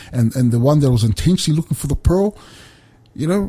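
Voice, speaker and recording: A man with a New Zealand accent speaks fairly quickly, his tone dark and mellow. His intonation is lively and his voice somewhat breathy.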